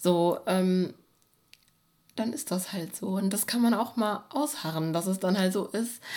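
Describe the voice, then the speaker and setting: Dark and mellow in tone, a woman's medium-pitched voice moves at a fairly slow pace. She leaves long, frequent pauses, and her pitch varies in an ordinary way. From Germany, Bochum (Ruhr area). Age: 20s. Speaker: poet. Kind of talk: casual chat. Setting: at home on a sofa.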